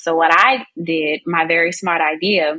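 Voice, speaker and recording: This woman has a fairly low pitch and a Southern US accent. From US South. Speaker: business and content marketing coach. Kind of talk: podcast interview. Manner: talkative.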